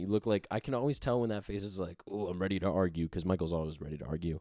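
A man with an American accent talks at a very fast pace, his pitch very deep and low with a dark, mellow tone. His intonation is lively, and the sound is dry and close with no echo. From Cleveland, Ohio. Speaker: soccer podcast host. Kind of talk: casual chat.

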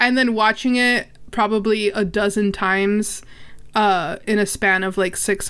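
In an unremarkable speaking voice, a woman talks at a medium pitch with fairly even intonation. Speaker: podcaster. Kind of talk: casual chat.

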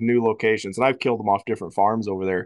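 A man at medium pitch with an American accent, dry and close with no echo, against a quiet background. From Iowa. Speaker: wildlife biology professor. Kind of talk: casual chat.

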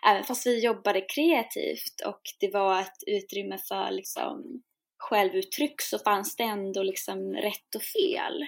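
On a very clean recording with a silent background, the woman's speech unfolds at a fairly slow pace. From Sweden. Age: 20s. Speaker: singer-songwriter and shamanic priestess. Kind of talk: interview conversation.

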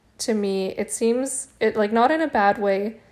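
With ordinary pitch variation and a fairly slow pace, this is an ordinary speaking voice. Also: woman. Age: 30s. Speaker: podcast host. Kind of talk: solo commentary.

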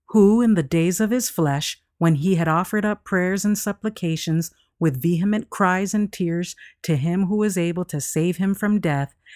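In a very clean recording with a silent background and a dry, close sound with no echo, a woman with a fairly low pitch speaks in a solemn tone at a moderate pace with ordinary pitch variation. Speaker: devotional reader. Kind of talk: devotional reading aloud, dramatic narration. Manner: solemn, reverent, measured; dramatic, hushed storytelling.

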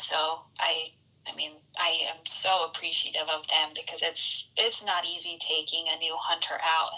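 Noticeable background noise sits under a woman talking with an American accent. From rural Utah. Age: 20s. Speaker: bow hunter. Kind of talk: casual interview. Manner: halting, many repeated words.

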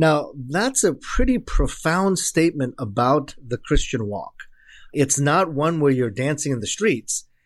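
A man with a Baltimore accent, fairly high pitch and very wide pitch swings, on a very clean recording with a silent background. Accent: American English (Baltimore upbringing). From Korea until age six, then Baltimore inner city. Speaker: professor of evangelism and pastor. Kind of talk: interview conversation.

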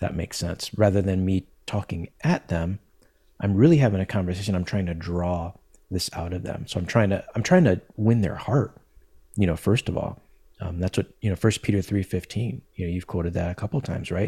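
A man with a very deep, low, dark, mellow voice, somewhat breathy, talks at a fairly quick pace with ordinary pitch variation. The recording is very clean with a silent background and a dry, close sound with no echo. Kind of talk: podcast interview. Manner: calm, gentle.

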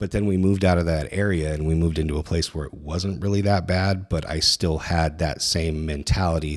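Recorded very cleanly against a silent background, a man with an American accent talks in a very deep, low pitch with fairly even intonation. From Northern California. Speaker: Marine veteran, former security leader. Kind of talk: testimony.

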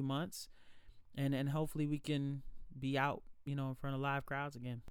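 A man with an American accent speaks at a fairly quick pace. His pitch is fairly high and his intonation fairly even. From Alexandria, Virginia. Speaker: singer. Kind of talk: interview.

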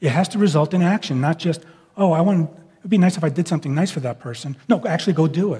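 Talking at a very fast pace, a man with an American accent has a high pitch, ordinary pitch variation and a dark, mellow tone. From New York. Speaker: pastor. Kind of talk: sermon. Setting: church.

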